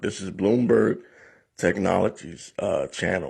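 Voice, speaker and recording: A man with vocal fry speaks at a moderate pace and a fairly low pitch. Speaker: YouTube commentator. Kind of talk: casual commentary.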